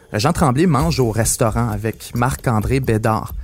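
With music in the background, the voice moves at a fairly slow pace with lively intonation. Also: man. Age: 20s. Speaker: podcast host. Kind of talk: scripted narration.

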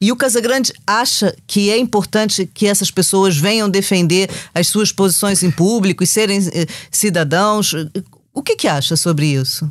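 An ordinary speaking voice from a woman at a medium pitch, moderate pace, lively intonation and very even loudness. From Brazil, Rio de Janeiro. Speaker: podcast host, journalist. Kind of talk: interview.

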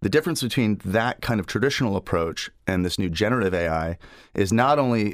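Very fast, a man talks at a fairly low pitch. The recording is very clean, with a silent background. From United Kingdom (England, Ireland, Scotland), born in Massachusetts. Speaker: tech company founder and CEO. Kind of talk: radio interview.

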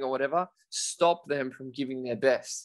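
His voice sits fairly high for a man, and the pitch moves in an ordinary way. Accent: Australian. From Australia, rural New South Wales. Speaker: children's author and kettlebell champion. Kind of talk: interview. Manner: energetic.

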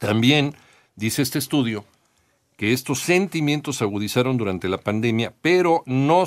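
An ordinary speaking voice from a man, lively in intonation and fairly quick in pace, on a very clean recording with a silent background. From Mexico. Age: 50s. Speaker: news radio host. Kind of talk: casual news commentary.

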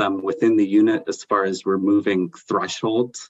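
A man with a plain, everyday voice speaks at a fairly slow pace with fairly even intonation. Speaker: property developer. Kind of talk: formal council committee meeting.

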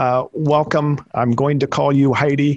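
A man with a normal speaking voice talks at a fairly slow pace, his pitch fairly high and his intonation fairly even. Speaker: podcast co-host. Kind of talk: interview.

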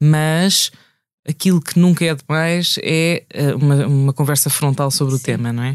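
On a very clean recording with a silent background, a woman with a very deep, low voice talks at a moderate pace with fairly even intonation. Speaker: podcast co-host. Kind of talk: casual chat.

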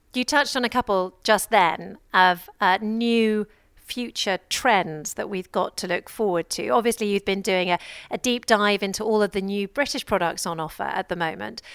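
In a very clean recording with a silent background and a dry, close sound without echo, a woman with an English accent talks at a moderate pace, her medium pitch showing ordinary variation. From England. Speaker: radio show host. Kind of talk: radio interview. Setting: live broadcast from a busy trade fair.

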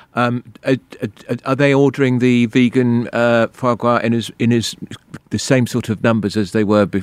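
A man with a southern English accent, the sound dry and close with no echo. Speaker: radio host. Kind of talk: radio interview.

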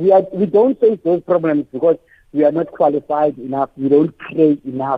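A man speaks with ordinary pitch variation, keeping a moderate pace. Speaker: radio caller. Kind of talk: phone-in comment. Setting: phone call.

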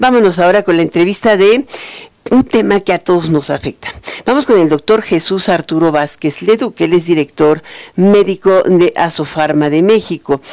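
Using a normal speaking voice, a woman speaks at a moderate pace with a fairly low pitch, ordinary pitch variation and very even loudness. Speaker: radio news host. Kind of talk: radio news and interview.

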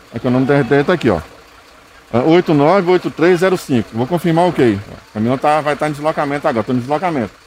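Over noticeable background noise, a man speaks at a very fast pace. His pitch is fairly high, with ordinary pitch variation. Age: 50s. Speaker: garbage truck driver. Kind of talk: on-location interview.

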